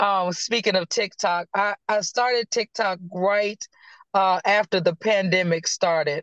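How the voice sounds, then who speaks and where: A woman with a Virginia accent speaks at a medium pitch and a fairly slow pace, with fairly even intonation and very even loudness. The sound is dry and close with no echo. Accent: US Southern (Virginia). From Virginia, Danville. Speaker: prophet and minister. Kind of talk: casual chat.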